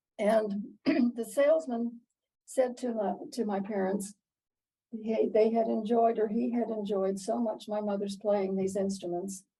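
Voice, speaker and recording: Fairly slow, the delivery shows ordinary pitch movement. Its tone is dark and mellow, with some breathiness. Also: woman, fairly high pitch for a woman. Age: 80s+. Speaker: piano teacher. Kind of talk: interview answer, personal storytelling.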